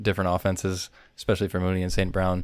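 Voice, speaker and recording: His voice sits fairly low. The man talks with an American accent. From Wisconsin. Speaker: fantasy football podcast host. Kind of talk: casual chat.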